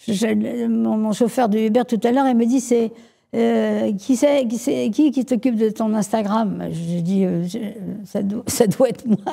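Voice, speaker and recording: Her voice is fairly high, somewhat breathy, with a dark, mellow tone. The woman speaks at a fairly slow pace. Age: 70s. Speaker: entrepreneur. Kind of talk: interview. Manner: halting, many repetitions.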